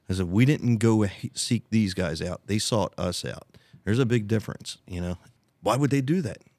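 In an American accent, a man with a normal speaking voice and fairly low pitch talks at a moderate pace with ordinary pitch variation. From US Northeast, Delaware County, Pennsylvania. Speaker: rodeo arena owner. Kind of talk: casual chat.

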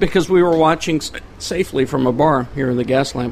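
A man's raspy, put-on character voice, fairly high in pitch, moving at a fairly quick pace over clear background noise

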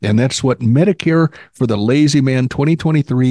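An unremarkable speaking voice with ordinary pitch variation, dry and close with no echo, against a quiet background. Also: man. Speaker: Medicare podcast host and author. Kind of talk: casual chat. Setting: video call. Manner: humorous, playful.

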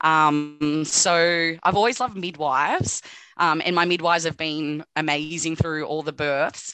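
In an Australian accent, a woman speaks at a fairly slow pace with a very deep, low pitch and a bright, sharp tone. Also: fairly even intonation. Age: 30s. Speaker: nursing student. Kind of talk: casual chat. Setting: video call.

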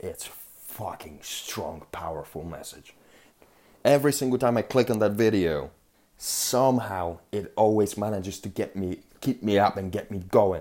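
Speaking at a fairly slow pace, a man with a fairly low pitch and a dark, mellow tone shows ordinary pitch variation and big swings in loudness. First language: not English. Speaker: podcast host. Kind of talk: solo monologue podcast. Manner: animated.

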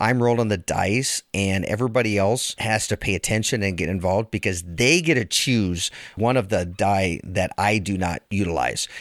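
A man speaks in a plain, everyday voice, fairly low in pitch with ordinary pitch variation, at a moderate pace, and the sound is dry and close with no echo. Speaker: podcast co-host. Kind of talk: casual chat.

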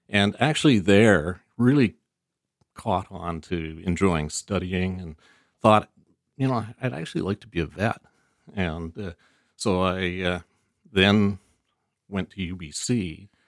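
On a very clean recording with a silent background and a dry, close sound with no echo, a man with a Canadian accent and a very deep, low pitch speaks at a fairly slow pace, with long, frequent pauses and big swings in loudness. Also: ordinary pitch variation. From Vancouver, Canada. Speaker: farmer and winery owner. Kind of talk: interview. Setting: outdoors. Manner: halting.

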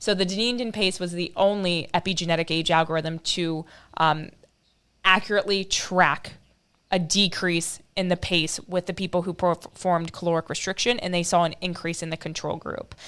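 A woman with an unremarkable speaking voice talks at a moderate pace and fairly low pitch. Her intonation is fairly even, and she speaks with an American accent. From US Midwest (Ohio, north of Dayton). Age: 20s. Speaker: molecular biologist. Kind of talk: interview. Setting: video call.

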